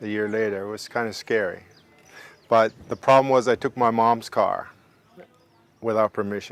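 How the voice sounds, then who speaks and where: With long, frequent pauses, a man speaks at a medium pitch in a monotone, flat way. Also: moderate pace, dry, close sound with no echo. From Germany. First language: German. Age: 60s. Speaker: interviewee. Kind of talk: oral history interview.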